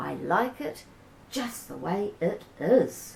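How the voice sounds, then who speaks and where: Doing a put-on character voice, a woman at medium pitch talks very slowly with very wide pitch swings over clear background noise. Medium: read story.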